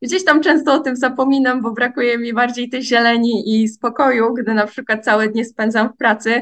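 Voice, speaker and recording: At a fairly quick pace with hardly any pauses, a woman speaks at a high pitch with fairly even intonation. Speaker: environmental science student. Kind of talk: podcast monologue. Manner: halting.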